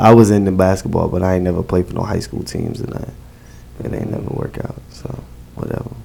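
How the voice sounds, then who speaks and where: Very fast speech in an American accent carries lively intonation and big swings in loudness over noticeable background noise. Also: man, very deep, low pitch for a man. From Newark, New Jersey. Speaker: host (event/show host). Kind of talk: casual interview chat. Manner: animated.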